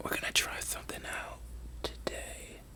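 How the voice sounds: Someone is whispering at a moderate pace.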